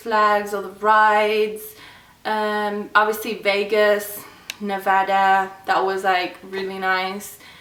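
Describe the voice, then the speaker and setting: In an English accent, a woman speaks with audible room echo. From England, Birmingham. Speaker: YouTuber. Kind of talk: casual vlog talk. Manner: casual, filler-heavy.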